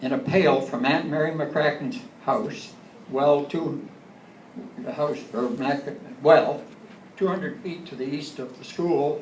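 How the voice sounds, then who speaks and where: With a Canadian accent, a man speaks at a fairly high pitch with ordinary pitch variation and long, frequent pauses. Noticeable background noise and audible room echo fill the recording. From Ontario, Canada. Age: 80s+. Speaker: local elder. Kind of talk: talk to audience. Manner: halting.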